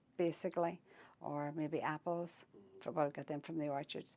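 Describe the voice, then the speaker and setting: In a Northern Irish accent, a woman speaks at a moderate pace. Her voice is fairly low and her intonation flat and monotone. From Northern Ireland, County Down (Holywood). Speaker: oral history interviewee. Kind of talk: interview. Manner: halting.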